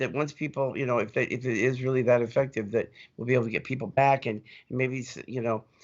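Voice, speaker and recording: A man of medium pitch speaks at a fairly quick pace with fairly even intonation. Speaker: nonprofit executive giving staff update. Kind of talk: live video update. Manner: fast; halting, many repeated words.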